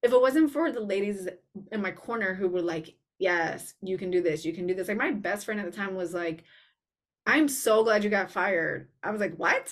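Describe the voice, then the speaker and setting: Lively in intonation and moderate in pace, a woman with an unremarkable speaking voice at medium pitch is heard in a very clean recording with a silent background. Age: 40s. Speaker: personal stylist and podcast host. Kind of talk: casual chat.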